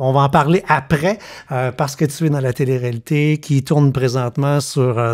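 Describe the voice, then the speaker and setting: A man with a Quebec accent and a fairly high pitch, speaking at a fairly slow pace against a quiet background. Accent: Québécois French. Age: 50s. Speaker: podcast host. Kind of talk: casual chat. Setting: home living room. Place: studio. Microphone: studio mic.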